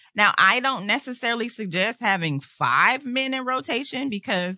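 Against a quiet background, a woman speaks fairly slowly in a bright, sharp tone with very wide pitch swings, the sound dry and close with no echo. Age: 40s. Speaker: podcast host. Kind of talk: casual chat. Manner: animated.

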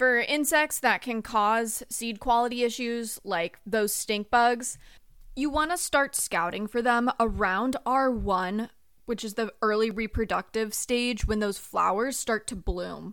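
An unremarkable speaking voice belongs to a woman with an American accent, fairly high-pitched, speaking at a fairly slow pace with ordinary pitch variation on a very clean recording with a silent background. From Southern California. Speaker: agricultural researcher, doctoral student. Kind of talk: interview, expert explanation.

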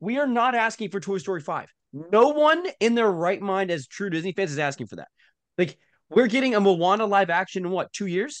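Over a quiet background, a man with a high-pitched, animated voice talks at a fairly quick pace, his loudness swinging widely. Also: lively intonation. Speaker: podcast co-host. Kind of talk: casual chat.

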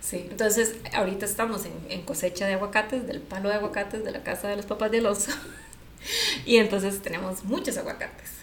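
A woman speaks at a fairly quick pace with medium pitch and fairly even intonation, with audible room echo and noticeable background noise. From Costa Rica, San José. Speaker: podcast co-host. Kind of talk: casual chat.

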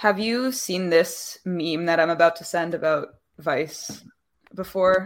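A woman with an unremarkable speaking voice talks at a fairly low pitch, her pitch moving in an ordinary way. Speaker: podcast co-host.

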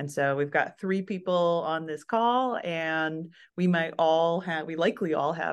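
In an ordinary speaking voice, a woman talks at a fairly slow pace with fairly low pitch and ordinary pitch variation against a quiet background. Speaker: product designer. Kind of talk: interview.

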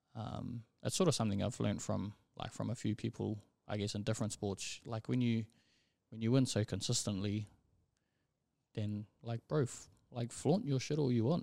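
A man with an Auckland accent speaks at a moderate pace, his medium-pitched voice dark and mellow. His intonation stays fairly even, broken by long, frequent pauses. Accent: New Zealand (Auckland). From New Zealand, South Auckland (Manurewa). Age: young. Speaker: rugby league referee. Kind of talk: casual interview.

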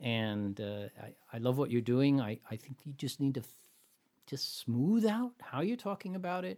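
A man with an American accent speaks at medium pitch in a dark, mellow tone, his pitch swinging very widely at a moderate pace. The recording is very clean, with a silent background. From US West Coast. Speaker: pitch coach and show host. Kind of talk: coaching session. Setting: studio.

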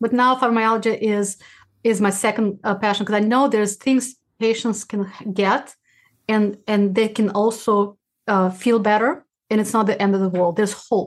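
A woman with a Russian accent speaks at a fairly high pitch with fairly even intonation. Her loudness stays very even, and she takes long, frequent pauses. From former Soviet Union (Uzbekistan). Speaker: rheumatologist and podcast host. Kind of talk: interview. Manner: fast talker; halting, frequent restarts.

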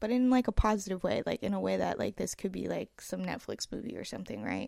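A woman speaks with an American accent. The sound is dry and close with no echo, in a very clean recording with a silent background. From US West Coast. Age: 20s. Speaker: podcaster. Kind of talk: casual solo podcast monologue. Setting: home recording, apartment. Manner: rambling, filler-heavy, casual.

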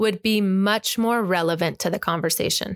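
Recorded very cleanly against a silent background with a dry, close sound and no echo, a woman with an American accent talks at a medium pitch and a fairly quick pace, her pitch varying in an ordinary way. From Arizona, US. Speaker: podcast co-host, former church teacher. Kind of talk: casual spiritual conversation.

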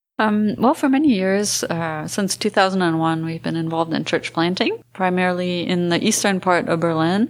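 With an American accent and a normal speaking voice, a woman talks at a moderate pace and medium pitch, using ordinary pitch variation and hardly any pauses. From grew up in France, American family. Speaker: missionary. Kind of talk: interview.

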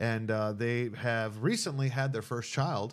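This is a plain, everyday voice with ordinary pitch variation, captured in a very clean recording against a silent background. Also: man. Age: young. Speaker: pastor. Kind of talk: casual interview. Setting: studio with two mics.

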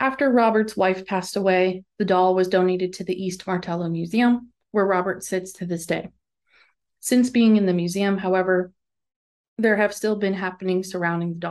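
Against a quiet background, a woman with a plain, everyday voice and an American accent speaks at a moderate pace and medium pitch with fairly even intonation. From northeastern Pennsylvania. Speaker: podcast host. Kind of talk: scripted narration.

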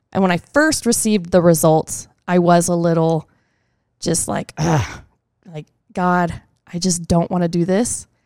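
A woman speaks fairly slowly in an American accent, her pitch fairly low. The sound is dry and close, with no echo. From Texas. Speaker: children's ministry volunteer. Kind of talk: casual interview.

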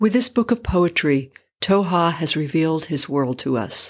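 A normal speaking voice with lively intonation at a fairly slow pace, on a very clean recording with a silent background. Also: woman. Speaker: podcast host reading poetry. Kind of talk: poem reading aloud, book-page narration. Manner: measured, solemn, lyrical reading with pauses.

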